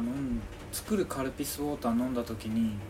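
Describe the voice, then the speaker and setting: Soft-spoken and at a medium pitch, a man makes very wide pitch swings. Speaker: podcast co-host. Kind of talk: casual chat. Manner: not crisp or loud.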